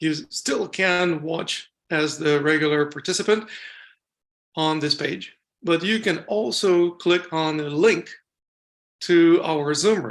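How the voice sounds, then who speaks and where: At a fairly slow pace, a speaker talks with a non-native accent. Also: quiet background. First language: not English (English is third language). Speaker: summit host, qigong teacher. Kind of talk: event introduction.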